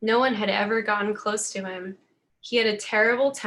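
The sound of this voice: An unforced reading voice with fairly even intonation comes through over a quiet background.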